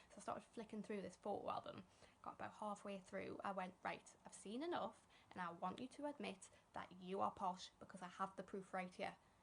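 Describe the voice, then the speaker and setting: A woman's somewhat breathy voice, medium in pitch, at a fairly quick pace with ordinary pitch variation. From northern England. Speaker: stand-up comedian. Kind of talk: stand-up.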